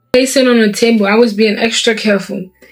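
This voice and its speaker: A woman's fairly high, animated voice over music in the background. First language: not English. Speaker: vlogger. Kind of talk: casual vlog talk. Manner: halting.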